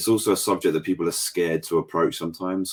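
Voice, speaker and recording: Pitch moves in an ordinary way. The recording is very clean, and the background is silent. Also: man. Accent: English. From England. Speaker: painter. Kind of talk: casual chat.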